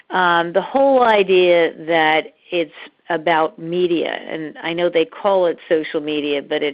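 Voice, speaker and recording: A woman with a plain, everyday voice speaks at a fairly slow pace and a fairly low pitch, with ordinary pitch variation. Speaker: measurement consultant, webinar presenter. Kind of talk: webinar presentation. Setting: webinar by phone line.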